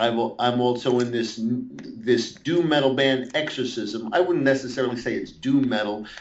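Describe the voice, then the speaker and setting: A man with a New York accent, with audible room echo. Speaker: metal guitarist and guitar teacher. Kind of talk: interview. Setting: Skype call. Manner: halting, many fillers and restarts.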